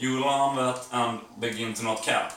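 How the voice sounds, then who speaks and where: A man with a non-native accent and fairly even intonation at a fairly slow pace, with audible room echo and noticeable background noise. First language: not English. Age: 40s. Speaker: vlogger. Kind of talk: casual vlog monologue. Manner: hesitant, with fillers.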